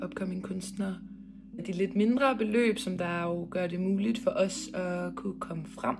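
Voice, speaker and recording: A woman speaks at a fairly slow pace with ordinary pitch variation. The recording has audible room echo and noticeable background noise. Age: 20s. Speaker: visual artist. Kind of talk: video application pitch. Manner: hesitant, many fillers.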